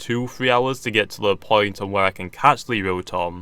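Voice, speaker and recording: Using a British accent, a man talks at a moderate pace in a fairly low pitch, his tone bright and sharp and his pitch variation ordinary. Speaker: gaming YouTuber. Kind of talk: gameplay commentary. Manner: stuttering.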